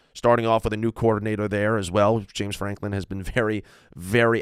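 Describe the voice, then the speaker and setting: At a very fast pace, a man with a fairly low pitch speaks on a very clean recording with a silent background and a dry, close sound with no echo. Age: 20s. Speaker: sports podcaster, football fan. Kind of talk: solo sports podcast analysis. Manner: animated.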